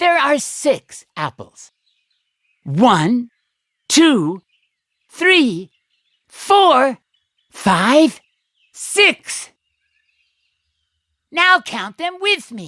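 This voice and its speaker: A cartoonish character voice with a high pitch and very wide pitch swings speaks at a very slow pace with long, frequent pauses. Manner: bright, slow, encouraging.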